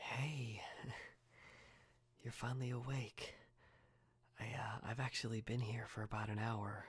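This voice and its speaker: A man speaks in a gentle, somewhat breathy tone at medium pitch, with monotone, flat intonation. His pace is fairly slow, with long, frequent pauses. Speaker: ASMR artist. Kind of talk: ASMR roleplay, friend caring for a sick person. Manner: soft, gentle, caring.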